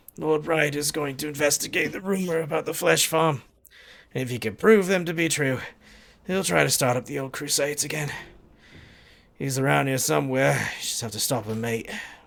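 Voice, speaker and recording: Putting on a character voice, a man speaks raspy and fairly high at a fairly quick pace, with ordinary pitch variation and long, frequent pauses. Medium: game stream. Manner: casual, blokey, calls people mate.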